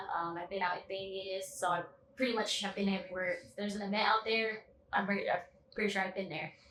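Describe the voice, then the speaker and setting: A woman with an American accent talks very fast at a medium pitch, her intonation fairly even. Her loudness swings widely, and background noise is noticeable. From Reno, Nevada. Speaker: dancer. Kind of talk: casual interview.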